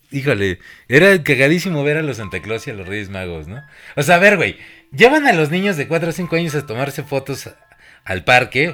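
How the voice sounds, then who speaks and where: With a Mexican accent and a fairly high pitch, a man talks at a moderate pace, his pitch swinging very widely and his loudness rising and falling sharply, while music plays in the background. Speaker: podcast host. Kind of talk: casual chat. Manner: animated.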